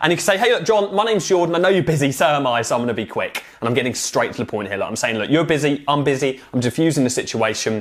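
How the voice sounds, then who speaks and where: A man with a British accent, fairly high-pitched, animated and lively in intonation, talking at a very fast pace with hardly any pauses over noticeable background noise. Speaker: online marketing coach. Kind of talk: tutorial.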